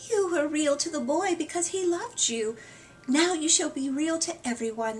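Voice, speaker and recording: A woman performs a put-on character voice. It sits high in pitch and moves at a moderate pace. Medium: read story. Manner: soft, warm.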